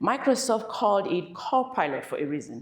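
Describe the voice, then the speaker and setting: A woman talks at a moderate pace, her pitch swinging very widely. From Cameroon. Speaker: keynote speaker on AI. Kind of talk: keynote talk.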